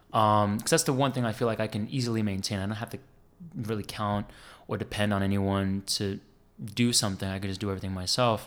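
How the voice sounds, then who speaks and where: In a New Jersey accent, a man with a fairly low pitch speaks at a very fast pace with fairly even intonation. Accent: New Jersey American. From US Northeast, New Jersey. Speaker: instrumental guitarist. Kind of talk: casual interview chat.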